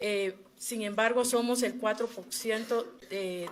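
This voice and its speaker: With a La Guajira accent, a woman speaks at a fairly high pitch with fairly even intonation. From Colombia, Wayuu people (La Guajira). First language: Wayuunaiki (speaking Spanish). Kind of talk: formal testimony at a human rights hearing. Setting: commission hearing. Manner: formal, with frequent hesitations.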